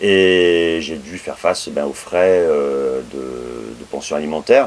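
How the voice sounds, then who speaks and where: A man talks over noticeable noise in the background. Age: 40s. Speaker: interviewee, part-time association employee. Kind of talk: casual chat. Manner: halting.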